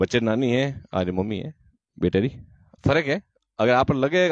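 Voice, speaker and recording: A man with a plain, everyday voice speaks at a medium pitch with lively intonation, in a dry sound with no echo and a quiet background. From Rajasthan, Jodhpur district; Rajasthan, India. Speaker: nutrition counselor. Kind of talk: promotional video talk. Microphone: handheld.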